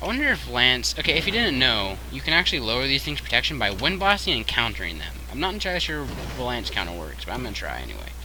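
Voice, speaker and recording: Audible room echo and noticeable background noise surround a man talking at a very fast pace. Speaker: video game streamer. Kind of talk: live gameplay commentary. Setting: live stream.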